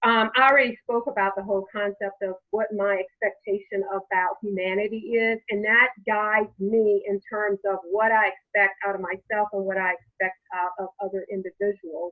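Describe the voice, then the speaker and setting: Moderate pace, fairly even intonation, hardly any pauses. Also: woman, medium pitch for a woman. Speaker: lawyer. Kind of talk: panel discussion. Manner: loud.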